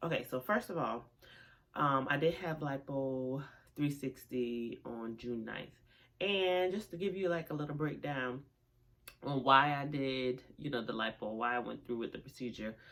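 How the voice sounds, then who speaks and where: The pace is moderate. Pitch variation is ordinary. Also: woman, very deep, low pitch for a woman. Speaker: vlogger. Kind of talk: casual chat. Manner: casual, chatty with fillers.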